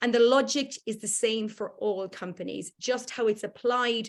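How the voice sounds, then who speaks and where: A woman at a moderate pace, fairly high in pitch, with vocal fry and a slight Irish accent. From Ireland. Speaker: workplace culture consultant. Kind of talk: online workshop presentation. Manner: hesitant, many fillers.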